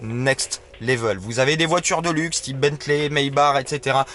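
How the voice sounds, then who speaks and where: A man's voice sits at medium pitch. He talks at a fairly slow pace. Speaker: car reviewer, video host. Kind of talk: casual car review vlog. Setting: in the back seat of a car. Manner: hesitant, many fillers.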